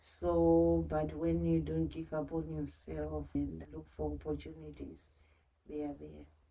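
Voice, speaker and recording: A woman's voice, very deep and low in pitch, carries a dark, mellow tone and a monotone, flat intonation. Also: fairly slow pace. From Zimbabwe. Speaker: social worker. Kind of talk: interview. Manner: soft-spoken. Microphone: quiet, may need more volume.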